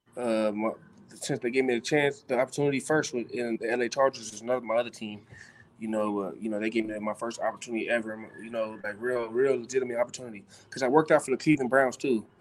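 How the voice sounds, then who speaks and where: Over noticeable background noise, a man with an American accent talks at a very fast pace. His intonation is fairly even. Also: medium pitch for a man. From Los Angeles. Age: 30s. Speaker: football player. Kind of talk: interview.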